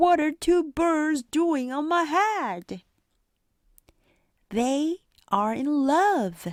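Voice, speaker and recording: A high-pitched, put-on character voice at a very slow pace, broken by long, frequent pauses, on a very clean recording with a silent background. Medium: read story. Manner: calm, matter-of-fact.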